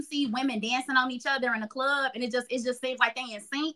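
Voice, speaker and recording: A raised, projected voice with a bright, sharp tone and an American accent, at a fairly quick pace. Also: woman, quiet background. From Chicago. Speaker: sexologist and podcast host; podcast host. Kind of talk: casual chat. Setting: video call. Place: home room. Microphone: video call.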